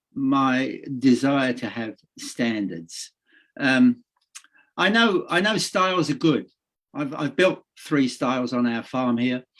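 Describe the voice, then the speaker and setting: Delivered at a very slow pace, the voice carries lively intonation. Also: man, medium pitch for a man. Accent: New Zealand. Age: 70s. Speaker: public submitter at a parliamentary committee. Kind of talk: committee submission testimony. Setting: video call. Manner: halting, many fillers.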